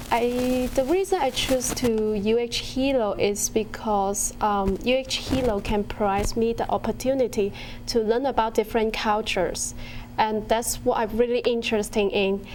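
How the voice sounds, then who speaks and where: A woman with a Chinese accent speaks at a very even loudness. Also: fairly high pitch for a woman, ordinary pitch variation, moderate pace. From China. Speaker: university student. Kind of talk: interview. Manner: hesitant, many um fillers.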